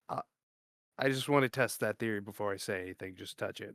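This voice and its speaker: A raspy, put-on character voice rattles off its lines at a very fast pace. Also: man, medium pitch for a man. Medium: actual play. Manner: insistent, casual.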